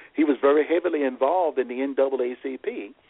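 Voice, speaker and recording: A man with an American accent, a fairly high pitch and ordinary pitch variation. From US South, rural southeastern Virginia. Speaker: family historian. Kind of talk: interview storytelling. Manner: halting.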